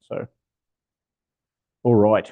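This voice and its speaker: With an Australian accent, this man keeps to a moderate pace. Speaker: software architect and developer evangelist. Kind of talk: technical talk. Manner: casual, with many fillers.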